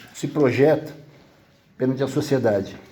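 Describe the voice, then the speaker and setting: A man talks at a moderate pace with fairly high pitch. The room echo is audible. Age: 70s. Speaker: social project volunteer. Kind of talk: community meeting remarks.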